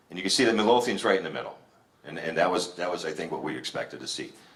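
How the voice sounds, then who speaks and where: Talking very fast, a man is heard with audible room echo and noticeable background noise. His pitch moves in an ordinary way. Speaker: village president. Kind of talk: public address with slides. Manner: halting, many fillers.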